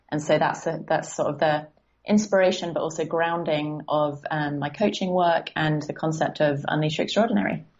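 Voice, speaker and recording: At a moderate pace, the speaker talks with an English accent and ordinary pitch variation. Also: woman, very deep, low pitch for a woman. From southern England, Guildford. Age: 20s. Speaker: life coach. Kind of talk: podcast interview.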